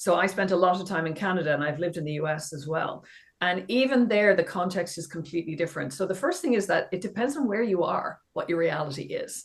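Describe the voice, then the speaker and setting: At a very fast pace and with hardly any pauses, a woman speaks at a medium pitch, somewhat breathy, with ordinary pitch variation. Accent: Irish. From Ireland, west of Ireland. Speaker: professor, digital education expert. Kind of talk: podcast interview.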